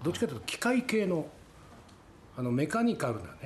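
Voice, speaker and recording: A man speaks with very wide pitch swings. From Tokyo. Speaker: company president. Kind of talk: interview.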